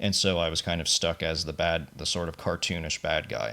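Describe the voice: With vocal fry and a bright, sharp tone, a man speaks low-pitched at a fairly slow pace.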